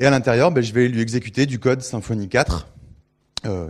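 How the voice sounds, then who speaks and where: Someone speaks fairly quickly with ordinary pitch variation on a very clean recording with a silent background. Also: man. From Bordeaux, France. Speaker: PHP consultant and trainer. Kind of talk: conference talk. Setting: stage with audience and microphone. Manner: hesitant, many fillers.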